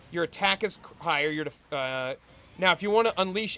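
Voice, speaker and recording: Noticeable background noise runs behind a man's high-pitched voice. He talks at a fairly quick pace. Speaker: gaming streamer. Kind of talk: casual gaming livestream chat. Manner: loud.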